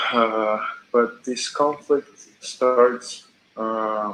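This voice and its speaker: Amid noticeable background noise, a man with a non-native accent talks in a monotone, flat way. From Georgia (country). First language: not English. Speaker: chat stranger. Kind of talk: casual chat. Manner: halting.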